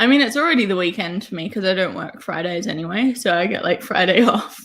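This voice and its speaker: A woman with an Australian accent, lively intonation and a fairly quick pace. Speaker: writer, live stream guest. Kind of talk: casual chat. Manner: loud.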